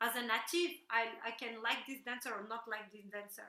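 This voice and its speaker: In a room with audible echo, a woman raises and projects her bright, sharp voice, speaking at a fairly slow pace with lively intonation. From Morocco-born, raised in Brussels, Belgium. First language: French or Moroccan Arabic. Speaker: belly dancer. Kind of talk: interview conversation. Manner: halting, repeating words.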